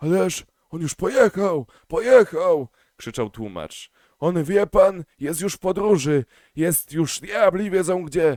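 Using a hoarse, put-on character voice, a man speaks at a fairly slow pace with a high pitch. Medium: read story. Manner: fawning, chattering.

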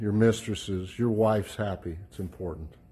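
A man's fairly low, somewhat breathy voice with a dark, mellow tone, fairly even intonation and a moderate pace. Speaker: auction house staff. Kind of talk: walkthrough sales commentary. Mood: light, joking. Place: hall. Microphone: phone near.

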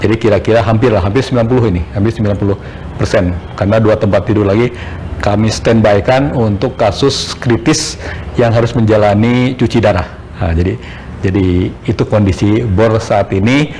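Over light background noise, a man with a fairly low pitch and ordinary pitch variation talks at a moderate pace with very even loudness. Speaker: hospital official. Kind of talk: interview. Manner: halting. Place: office.

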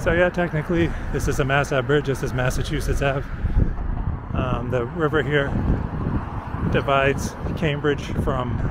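Over loud background noise, a man speaks at a moderate pace with long, frequent pauses in a dry sound with no echo. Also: ordinary pitch variation. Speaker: walking-tour vlogger. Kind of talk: casual narration. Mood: relaxed, pleased. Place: street. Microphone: phone near.

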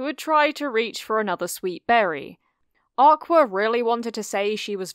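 Lively intonation in a natural reading voice, against quiet surroundings

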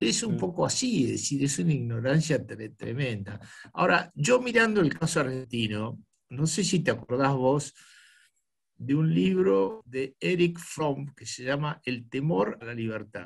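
Against a quiet background, a somewhat breathy man speaks at a fairly slow pace with very wide pitch swings. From Argentina, Buenos Aires. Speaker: club host. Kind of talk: casual chat. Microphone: video call.

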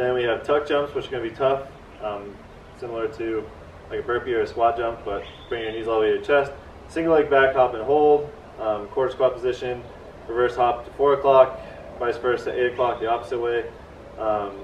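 Amid light background noise and audible room echo, a man speaks at a fairly quick pace with fairly even intonation. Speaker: workout host. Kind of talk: casual tutorial. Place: garden. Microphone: camera far.

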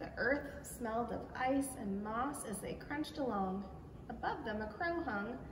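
Plain speech from a natural reading voice

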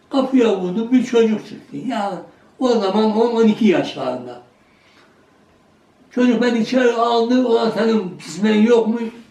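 Over noticeable background noise and audible room echo, a man with an extremely high pitch speaks at a fairly slow pace with fairly even intonation. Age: 80s+. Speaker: village elder. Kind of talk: storytelling.

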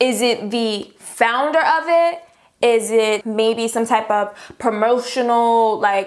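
A woman speaks very slowly, with a quiet background behind her. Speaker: beauty vlogger. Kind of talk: casual vlog chat. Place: home room.

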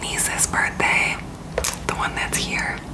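Loud background noise fills the clip. The speaker is a woman. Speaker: beauty vlogger. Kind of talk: casual vlog chat. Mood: cheerful, excited. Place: home room. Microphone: phone near.

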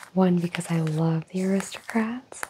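A soft-spoken woman with fairly even intonation over noticeable background noise. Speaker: makeup roleplay host. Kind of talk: soft-spoken roleplay talk. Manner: soft, close ASMR speaking voice. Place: home room. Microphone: lapel.

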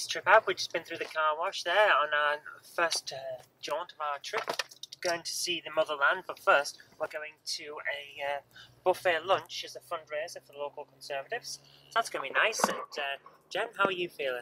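A woman speaks at a moderate pace with a very deep, low pitch, her voice dry with no echo against noticeable background noise. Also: ordinary pitch variation, big swings in loudness. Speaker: vlogger. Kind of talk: casual vlog chat. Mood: cheerful, relaxed. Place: car. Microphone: phone near.

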